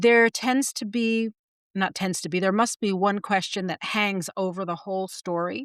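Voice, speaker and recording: A woman speaks at a medium pitch with fairly even intonation. The sound is dry and close with no echo, on a very clean recording with a silent background. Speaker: podcast co-host, writing teacher. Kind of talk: casual chat. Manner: fast; many filler words.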